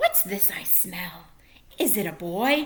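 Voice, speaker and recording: This woman uses a put-on character voice at a medium pitch. Her pitch swings very widely. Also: fairly slow pace. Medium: read story. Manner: menacing.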